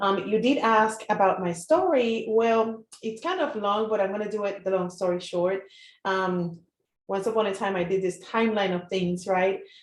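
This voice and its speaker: At a moderate pace, a woman with a Puerto Rican accent speaks at a medium pitch with ordinary pitch variation. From Puerto Rico. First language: Spanish. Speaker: marketing entrepreneur. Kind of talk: live interview. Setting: Facebook live stream.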